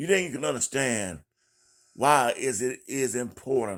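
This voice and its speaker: A man's medium-pitched voice with vocal fry, lively intonation and a fairly slow pace, on a very clean recording with a silent background. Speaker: political commentator. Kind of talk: live monologue. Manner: deliberately slow.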